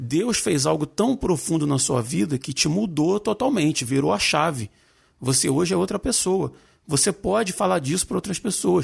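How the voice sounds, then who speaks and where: In a very clean recording with a silent background, a man with a fairly high pitch and vocal fry talks at a moderate pace, his pitch swinging very widely. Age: 40s. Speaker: podcast host. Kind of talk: casual chat.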